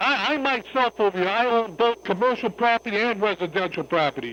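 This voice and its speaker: A man's raised, projected voice, high-pitched, bright and sharp, at a fairly quick pace with ordinary pitch variation. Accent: American. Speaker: caller. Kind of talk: heated call-in argument. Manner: loud; animated.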